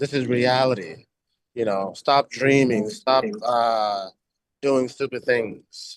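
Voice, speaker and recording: With an American accent, a man speaks at a very slow pace, leaving long, frequent pauses. His medium pitch moves with ordinary variation. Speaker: English teacher for Buddhist students. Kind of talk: English vocabulary lesson. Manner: casual, hesitant, repeats words.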